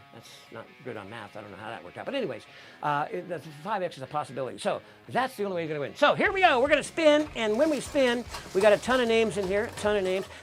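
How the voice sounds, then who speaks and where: A man with a high, energetic voice talks at a very fast pace, with very wide swings in both pitch and loudness. Music plays in the background. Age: 60s. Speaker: chef and cooking show host. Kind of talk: live cooking show with giveaway. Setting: home studio.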